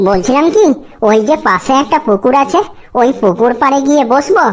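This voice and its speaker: In a cartoonish character voice, a woman speaks high with very wide pitch swings, at a moderate pace and very even loudness. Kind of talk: rustic comic cartoon acting.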